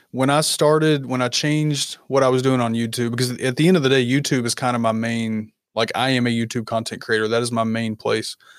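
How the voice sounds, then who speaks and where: Speaking at a fairly quick pace, a man with a medium pitch and a slight Southern US accent is heard in a very clean recording with a silent background. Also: fairly even intonation. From Kentucky. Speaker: content creator and coach. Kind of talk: casual interview chat.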